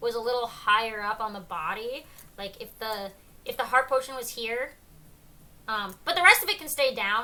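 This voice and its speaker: A woman projects a raised, high-pitched voice with a bright, sharp tone. Her pitch swings very widely as she goes at a moderate pace. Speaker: art streamer judging art challenge. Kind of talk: live stream art critique. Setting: live stream with chat. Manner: hesitant, many ums.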